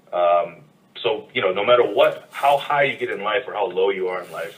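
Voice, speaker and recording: A man with an American accent talks at a moderate pace, his loudness swinging widely. Background noise is noticeable. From US South, North Carolina. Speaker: podcast co-host. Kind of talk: casual chat.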